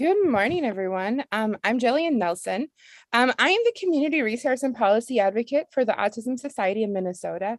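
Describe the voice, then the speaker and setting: A woman with an unremarkable speaking voice talks fairly quickly at a fairly high pitch, her intonation lively. The sound is dry and close with no echo, over a quiet background. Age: 30s. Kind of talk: panel testimony. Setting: webinar.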